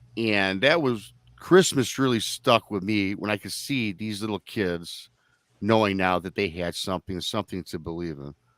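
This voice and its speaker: A man with an unremarkable speaking voice talks at a moderate pace in a fairly low pitch, his loudness swinging widely while his pitch varies in an ordinary way, all in a dry, close sound with no echo. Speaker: podcast host. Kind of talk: live online talk show.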